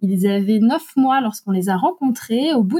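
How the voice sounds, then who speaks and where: A woman's voice with a dark, mellow tone, in a dry, close sound without any echo. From Alsace, France. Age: 40s. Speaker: adoptive mother and writer. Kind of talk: personal testimony interview. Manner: hesitant, frequent fillers.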